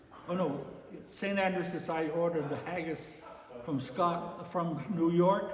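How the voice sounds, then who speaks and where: Against noticeable background noise, a man speaks at a fairly slow pace in a high pitch. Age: 80s+. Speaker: chairman of a Scottish heritage society. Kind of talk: interview answer. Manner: hesitant, halting.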